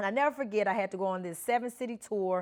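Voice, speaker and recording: The speaker is a woman with a Memphis accent. She talks at a very fast pace. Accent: Memphis Southern. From US South, Memphis, Tennessee. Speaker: co-host, military veteran and corporate professional. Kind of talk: storytelling in a discussion.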